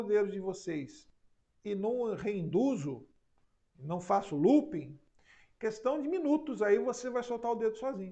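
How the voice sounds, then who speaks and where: A man speaks at a moderate pace in a dark, mellow tone. His pitch is high and swings very widely. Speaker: psychoanalyst and hypnosis teacher. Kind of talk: online class live stream. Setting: live stream.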